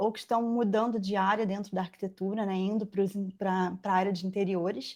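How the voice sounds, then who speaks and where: A woman talks at a moderate pace. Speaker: furniture-making mentor and former factory owner. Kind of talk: live webinar presentation. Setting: online live stream. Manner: halting, many fillers.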